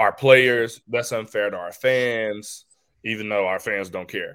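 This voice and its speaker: With a normal speaking voice, a man of medium pitch speaks at a fairly slow pace. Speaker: college basketball assistant coach. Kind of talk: interview. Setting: remote video call.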